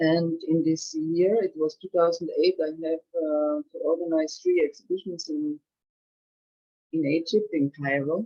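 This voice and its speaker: A woman in a German accent, fairly low-pitched and fairly slow, with fairly even intonation. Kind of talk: testimony. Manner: halting.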